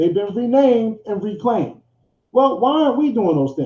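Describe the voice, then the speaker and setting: A man talks at a fairly quick pace. His pitch is extremely high. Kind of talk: rally speech. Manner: impassioned, exhortatory, rising and falling cadence with rhetorical repetition; direct, call-and-response, addressing the crowd as family.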